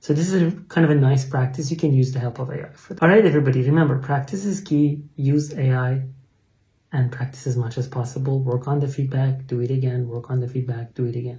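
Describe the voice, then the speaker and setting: A man with a Persian accent, a dark, mellow, somewhat breathy tone, fairly even intonation and a very fast pace. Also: medium pitch for a man. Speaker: English teacher. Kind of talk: tutorial. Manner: hesitant, with fillers.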